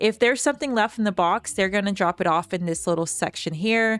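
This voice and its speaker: A woman mumbles at a fairly quick pace and a medium pitch, with ordinary pitch variation. The sound is dry and close with no echo, and music plays behind her. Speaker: gaming youtuber. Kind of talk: gameplay commentary. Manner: mumbling.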